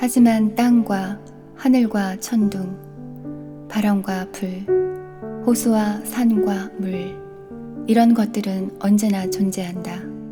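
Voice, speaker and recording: Music plays behind a woman speaking at a very slow pace in a calm, gentle tone. Her pitch is medium with ordinary variation. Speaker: poetry reader. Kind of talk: poetry reading.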